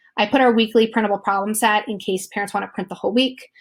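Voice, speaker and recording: Monotone, flat intonation on a very clean recording with a silent background. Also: woman. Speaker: teacher. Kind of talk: tutorial. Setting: screen recording. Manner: fast.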